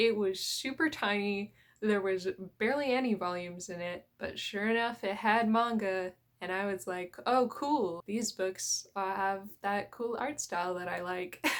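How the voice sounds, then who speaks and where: A woman with a Canadian accent has a plain, everyday voice at a medium pitch with ordinary pitch variation, captured in a very clean recording with a silent background. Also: fairly slow pace. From Canadian prairies. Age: 20s. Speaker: manga YouTuber. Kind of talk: casual vlog talk.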